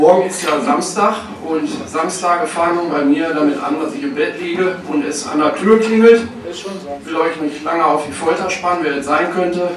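A man with a high pitch speaks in an animated, playful tone with ordinary pitch variation. Noticeable background noise and audible room echo surround him. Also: moderate pace. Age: 30s. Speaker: stand-up comedian. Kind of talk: stand-up comedy routine with storytelling and jokes. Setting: stage with audience. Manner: animated, punchy, playful delivery with crowd-work asides. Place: stage.

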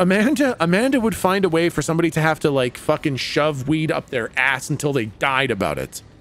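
Very wide pitch swings at a fairly quick pace, over background music, with a dry sound and no echo. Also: man. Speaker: game streamer. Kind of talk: casual stream chat reading viewer messages. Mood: playful, laughing. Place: home room.

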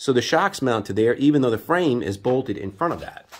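This man talks at a fairly quick pace with lively intonation. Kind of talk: casual workshop explanation. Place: garage. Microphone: phone near.

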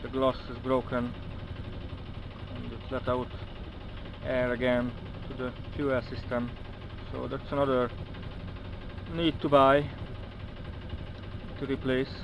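A man at a fairly slow pace, monotone and flat, with long, frequent pauses, a dry sound with no echo and noticeable background noise. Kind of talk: casual vlog chat. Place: boat. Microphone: phone near.

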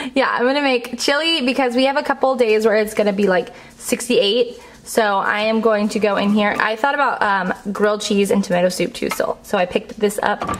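A woman speaks at a fairly quick pace with ordinary pitch variation and very even loudness. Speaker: lifestyle vlogger. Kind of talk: casual vlog chat. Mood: cheerful, laughing. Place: home room.

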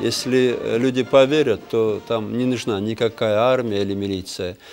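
A man talks at a moderate pace. Clear music is heard in the background. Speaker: interviewed politician. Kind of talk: interview answer. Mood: serious, earnest. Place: home room.

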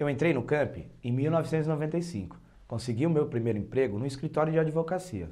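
A dark, mellow tone with lively intonation over a quiet background. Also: man. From Praia Grande, São Paulo coast, Brazil; São Paulo, Brazil. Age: 30s. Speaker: local political candidate; candidate. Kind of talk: campaign speech. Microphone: lapel.

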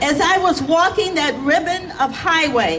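A woman speaks at an extremely high pitch with ordinary pitch variation. Noticeable background noise runs underneath. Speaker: reverend, rally speaker; speaker. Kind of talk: rally speech with sermon-like cadence. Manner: impassioned, rhythmic. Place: street.

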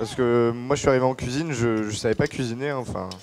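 A man speaks quickly at a medium pitch, his tone slightly mellow and his intonation fairly even. Faint noise sits in the background.

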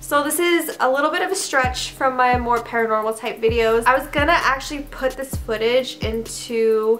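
Faint music plays in the background as a woman with a high pitch talks at a moderate pace with ordinary pitch variation. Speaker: vlogger. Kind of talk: casual vlog chat. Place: home room. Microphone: camera far.

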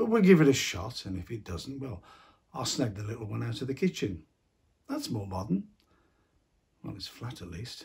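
There is vocal fry in this man's voice, along with lively intonation. The background is quiet. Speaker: actor playing a grandfather figure. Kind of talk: acted monologue to a teenager. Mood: warm, gently concerned.

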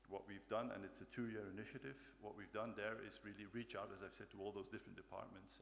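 A man with an ordinary speaking voice talks at a fairly quick pace in a fairly low pitch with fairly even intonation, over light background noise. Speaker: conference presenter. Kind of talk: conference talk. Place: hall. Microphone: podium.

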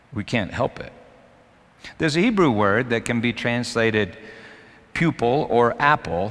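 This man's pace is moderate and his pitch varies in an ordinary way. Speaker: preacher. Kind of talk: sermon. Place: church. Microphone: headset.

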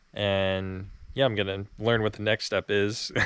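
A man's flat monotone at fairly low pitch, with a dry sound and no echo. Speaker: farm worker vlogger. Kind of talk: casual vlog chat. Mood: relaxed, a little unsure. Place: farm machine. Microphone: phone near.

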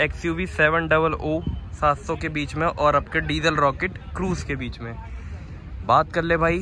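A man at a moderate pace, the sound dry with no echo, over light background noise. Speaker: car vlogger. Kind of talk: casual vlog intro commentary. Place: street. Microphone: phone near.

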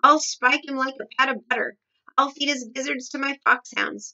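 Shouting and bellowing in a put-on character voice, a woman uses a bright, sharp tone at a high pitch, with fairly even intonation and a moderate pace.

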